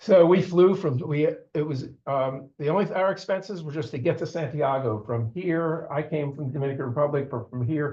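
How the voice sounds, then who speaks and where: A man's fairly high, somewhat breathy voice, dark and mellow in tone, with ordinary pitch variation. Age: 70s. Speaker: amateur astronomer presenting a trip report. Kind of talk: club meeting presentation. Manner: halting, many fillers and restarts.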